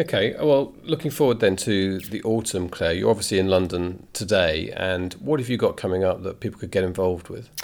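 A man with an unremarkable speaking voice talks at a fairly quick pace with hardly any pauses, his pitch fairly low and his intonation lively. The recording is very clean, with a silent background. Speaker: podcast host. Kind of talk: scripted intro with casual interview chat.

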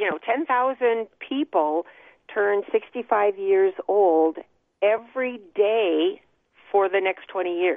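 With an American accent, a woman speaks at a very slow pace. Her pitch is medium, with ordinary pitch variation. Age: 60s. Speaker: author and social worker. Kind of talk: interview. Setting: phone call.

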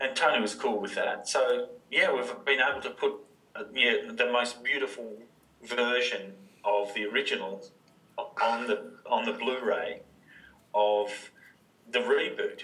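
A man speaks in an Australian accent at a fairly slow pace. He leaves long, frequent pauses. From Australia, inland Victoria (Wodonga). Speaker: film director. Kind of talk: casual interview chat. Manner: halting, many fillers and restarts.

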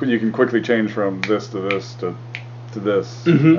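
Amid noticeable background noise, a man speaks at a moderate pace with medium pitch and ordinary pitch variation. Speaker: podcast co-host. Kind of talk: casual banter. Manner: uses radio voice.

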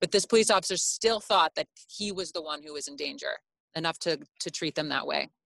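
A woman with a plain, everyday voice speaks at a fairly low pitch, using lively intonation and big swings in loudness. The recording is very clean and dry, close with no echo, over a silent background. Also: fairly quick pace. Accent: American. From US Midwest, Chicago. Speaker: former journalist and editor. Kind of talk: interview conversation.

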